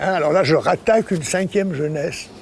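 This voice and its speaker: A man talks fairly quickly, noticeable background noise audible behind him. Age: 80s+. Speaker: artist and photographer. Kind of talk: interview. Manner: halting, repeats words.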